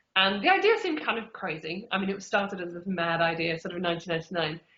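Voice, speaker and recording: Speaking at a very fast pace, a woman with an English Midlands accent keeps a medium pitch. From England, Derby. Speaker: author. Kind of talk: interview. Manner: casual, many fillers.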